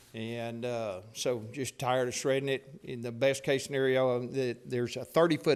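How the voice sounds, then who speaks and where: Speaking at a moderate pace, a man keeps a medium pitch and a monotone, flat intonation. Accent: Texan. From Texas, Paris. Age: 60s. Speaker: property owner speaking at public hearing. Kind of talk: public comment at council meeting. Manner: halting.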